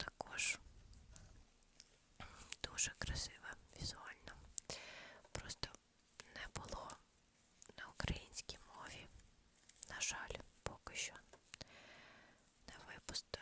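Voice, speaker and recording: Whispering at a very slow pace, a woman leaves long, frequent pauses, her loudness swinging a lot. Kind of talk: ASMR whisper chat. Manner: whispered, soft-spoken.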